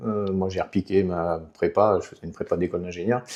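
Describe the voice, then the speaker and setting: Very deep, low male voice in a dark, mellow tone, fairly quick and fairly even in intonation. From southwestern France, Béarn near Basque Country. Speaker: politician, former mayor. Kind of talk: interview. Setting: podcast. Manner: hesitant, many fillers.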